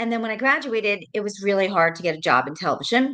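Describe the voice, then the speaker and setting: In an American accent, a woman talks at a medium pitch with a bright, sharp tone. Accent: New York accent, worked to clean it up. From New York, Rockland County. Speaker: real estate agent, former TV producer. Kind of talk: casual interview chat. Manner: fillers, conversational.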